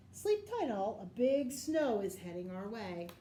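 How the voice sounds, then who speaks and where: Using a put-on character voice, a woman at medium pitch talks at a fairly slow pace with lively intonation and big swings in loudness, with clear background noise behind her. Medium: read story.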